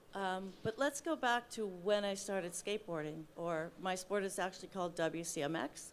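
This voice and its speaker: Here a woman talks in a normal speaking voice at medium pitch. Her pitch varies in an ordinary way, and there are hardly any pauses. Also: moderate pace. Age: 60s. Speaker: wheelchair athlete. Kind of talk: panel discussion.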